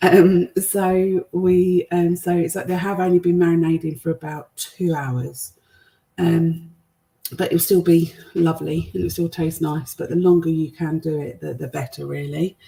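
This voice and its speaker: A woman with a British accent speaks at a fairly low pitch in a dark, mellow tone, somewhat breathy. Her intonation stays fairly even at a moderate pace. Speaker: cooking show host. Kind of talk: live cooking demonstration. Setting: livestream to online groups. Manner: hesitant, many fillers; quiet.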